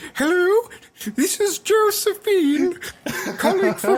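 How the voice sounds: A female-sounding, put-on character voice at an extremely high pitch, delivered at a very slow pace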